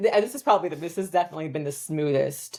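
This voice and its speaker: Speaking at a very fast pace, a woman talks with an American accent. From US, Southern California. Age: 40s. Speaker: financial advisor and business founder. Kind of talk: casual interview chat.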